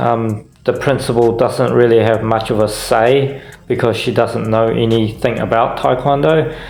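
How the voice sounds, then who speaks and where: A man talks at a fairly slow pace with a medium pitch and ordinary pitch variation. Noticeable background noise and audible room echo fill the recording. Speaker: vlogger and taekwondo teacher. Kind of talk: casual vlog narration.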